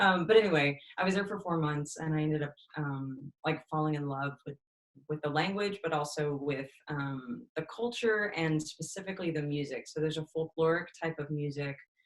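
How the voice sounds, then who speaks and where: A woman speaks at a moderate pace with an American accent. Her pitch is very deep and low, with ordinary variation. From Texas, Austin. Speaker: musician. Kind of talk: interview.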